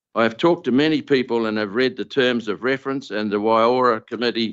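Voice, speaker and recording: Speaking in a New Zealand accent, a man keeps a moderate pace. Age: 70s. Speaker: farmer. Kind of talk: public deputation speech. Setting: council meeting. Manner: formal.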